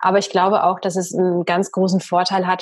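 A woman is speaking. Her pitch is medium. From Bavaria, Germany. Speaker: podcast host and coach. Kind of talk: interview conversation. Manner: trained speaking from acting school.

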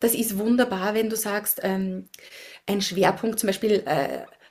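With noticeable background noise behind her, a woman speaks at a moderate pace with fairly even intonation. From Austria, Upper Austria. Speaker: science diplomat and community building consultant. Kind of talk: interview.

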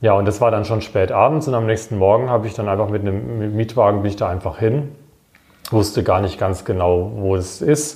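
A man speaks fairly quickly in a fairly low, somewhat breathy voice. His pitch varies in an ordinary way. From Baden-Württemberg, Germany (Wiesloch). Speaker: member of parliament and professor. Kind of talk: casual interview.

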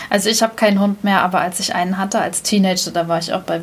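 With noticeable background noise behind her, a woman talks at a fairly quick pace in a medium pitch, her intonation monotone and flat. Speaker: podcast host. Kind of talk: casual chat.

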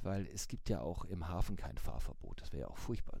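A man speaks at a fairly quick pace in a very deep, low pitch, with vocal fry and a dark, mellow tone. His pitch swings very widely, and room echo is audible. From Hamburg, northern Germany. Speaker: newspaper editor, mobility expert. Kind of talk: interview.

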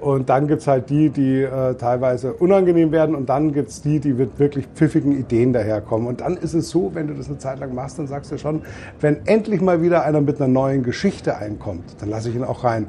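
Fairly high-pitched male voice at a fairly quick pace, with noticeable background noise. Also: ordinary pitch variation. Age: 50s. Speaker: beer tent landlord. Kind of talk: casual chat. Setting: in a festival tent.

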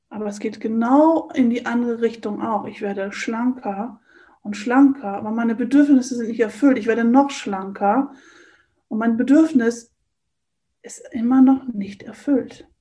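A woman with a fairly high voice and a dark, mellow tone talks at a fairly slow pace, her intonation fairly even and her loudness swinging widely. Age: 50s. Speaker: coach and eating trainer. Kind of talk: interview.

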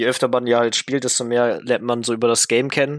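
A man speaks with monotone, flat intonation in a dry, close sound with no echo, on a very clean recording with a silent background. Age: 20s. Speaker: esports player. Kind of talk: casual interview.

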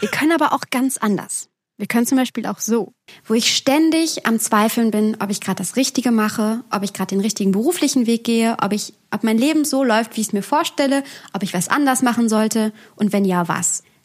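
A woman speaks at a fairly quick pace in a fairly high pitch. Her voice is somewhat breathy, with ordinary pitch variation. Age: 20s. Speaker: podcast co-host. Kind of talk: casual chat.

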